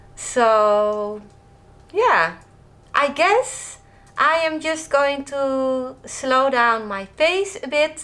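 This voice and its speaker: A woman speaks with a Dutch accent at a very slow pace, pausing long and often. Her high-pitched voice is bright and sharp, with very wide pitch swings. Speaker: lifestyle vlogger. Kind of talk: casual vlog talk.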